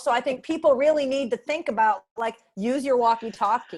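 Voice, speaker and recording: The voice is loud, with ordinary pitch variation and a moderate pace. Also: woman. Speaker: panel moderator. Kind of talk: panel discussion over video call.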